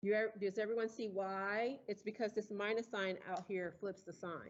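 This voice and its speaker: Speaking at a moderate pace, a woman uses a medium pitch and fairly even intonation. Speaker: engineering professor. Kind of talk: lecture. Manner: loud.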